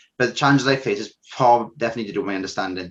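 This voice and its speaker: A man with a South Welsh accent against a quiet background. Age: 20s. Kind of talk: interview testimony. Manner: hesitant, with fillers.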